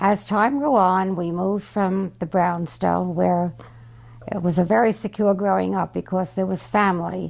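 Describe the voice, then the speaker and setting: A woman with a New York accent, medium-pitched, with ordinary pitch variation and a moderate pace. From New York, Brooklyn. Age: 90s. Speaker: great-grandmother. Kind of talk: family memoir talk.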